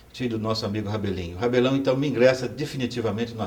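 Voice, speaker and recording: Noticeable background noise and audible room echo surround a man whose intonation is fairly even. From Brazil, Goiás (Itaberaí). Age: 60s. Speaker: professor and former student activist. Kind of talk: oral history testimony. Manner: halting, with fillers.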